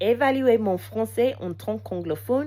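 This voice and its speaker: Very wide pitch swings in an English accent, with noticeable background noise. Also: woman. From England. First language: English (speaking French). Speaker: language learner vlogger. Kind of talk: casual unscripted monologue. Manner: halting, many hesitations.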